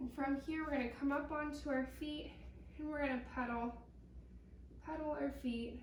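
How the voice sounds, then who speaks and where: High in pitch and monotone, flat in intonation, a woman speaks at a moderate pace with long, frequent pauses, amid audible room echo and noticeable background noise. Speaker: pilates instructor. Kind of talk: guided workout instruction.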